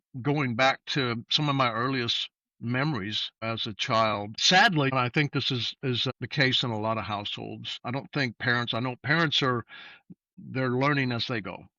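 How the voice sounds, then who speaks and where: The speaker is a man with a medium-pitched voice. He keeps a moderate pace and ordinary pitch variation. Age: 60s. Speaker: guest sharing faith testimony. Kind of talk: testimony. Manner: halting, many fillers.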